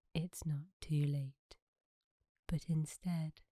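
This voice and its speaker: A soft-spoken woman talks at a very slow pace, her pitch very deep and low, her tone dark and mellow, and her voice somewhat breathy. The sound is dry and close, with no echo. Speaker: sleep story narrator. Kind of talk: sleep story.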